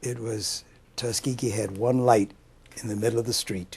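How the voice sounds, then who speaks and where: With an American accent, a man speaks at a medium pitch in a somewhat breathy voice and monotone, flat intonation. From US West, Los Angeles. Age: 80s+. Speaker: war veteran. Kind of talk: oral history interview.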